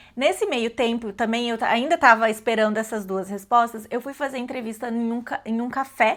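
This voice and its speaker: A woman speaks in a normal speaking voice at a fairly high pitch, with fairly even intonation. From Brazil. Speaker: vlogger. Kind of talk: casual storytelling vlog. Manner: casual with many fillers and self-corrections.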